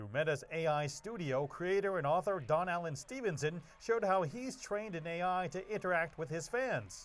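A man's voice is high in pitch. He speaks at a moderate pace with lively intonation. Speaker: news reporter. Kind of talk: news reading. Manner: formal.

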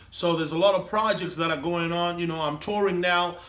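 His voice is high in pitch for a man, with a bright, sharp tone. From Zimbabwe, Harare (Mbare); Zimbabwe. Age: 30s. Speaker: comedian. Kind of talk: casual interview. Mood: upbeat, cheerful.

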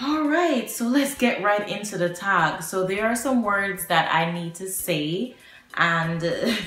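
A woman with a Jamaican accent talks at a fairly slow pace. Faint music plays behind her, and the room echo is audible. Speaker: vlogger. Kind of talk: casual talk to camera. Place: home room. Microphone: phone near.

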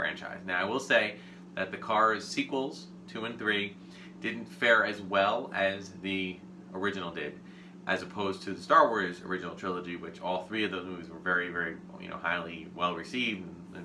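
Ordinary pitch movement at a moderate speed, noticeable background noise behind it. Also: man. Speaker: toy collector host. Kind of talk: casual unboxing show talk. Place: home room.

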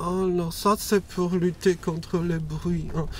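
A man speaks at a fairly slow pace in a dry sound with no echo and light background noise. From France. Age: 30s. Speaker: guest. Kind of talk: casual chat. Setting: in a car. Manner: unusual, atypical speech delivery. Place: car. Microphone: lapel.

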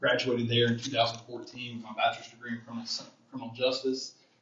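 A man at a medium pitch talks over noticeable background noise. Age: 30s. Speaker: public defender running for office. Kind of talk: campaign speech. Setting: church.

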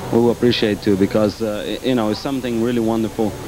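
Against noticeable background noise, a man at medium pitch speaks in a flat monotone with a dry sound and no echo. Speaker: professional soccer player. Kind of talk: halftime interview; interview answer. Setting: arena floor. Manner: halting. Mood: relaxed, appreciative. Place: stadium. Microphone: handheld.

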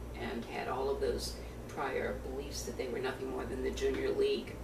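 Loud background noise sits behind a woman talking. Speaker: attorney and trade-controls consultant. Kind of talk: oral history interview answer. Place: home room. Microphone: webcam.

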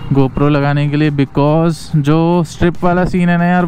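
The sound is dry with no echo, and light background noise is present. A man talks at a moderate pace. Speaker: motovlogger. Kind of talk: casual vlog chat. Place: motorbike. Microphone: helmet.

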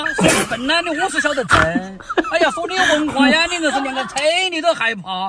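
Over noticeable background noise, a man with a Sichuan accent speaks at a fairly quick pace in a raised, projected voice, with an extremely high pitch, very wide pitch swings and a dry sound with no echo. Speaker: comic husband scolding wife. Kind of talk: comedy sketch dialogue. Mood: exasperated, mock-scolding. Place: car.

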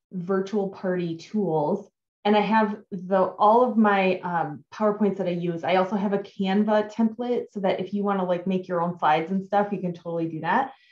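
A woman speaks with ordinary pitch variation, with audible room echo over a quiet background. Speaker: direct sales team leader. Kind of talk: tutorial. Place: home room. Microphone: webcam.

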